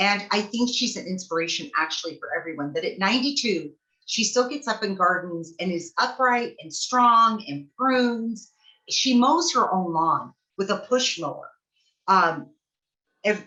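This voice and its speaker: The woman's tone is bright and sharp. She talks at a moderate pace with lively intonation. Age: 60s. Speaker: gardener and workshop co-presenter. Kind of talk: online workshop presentation.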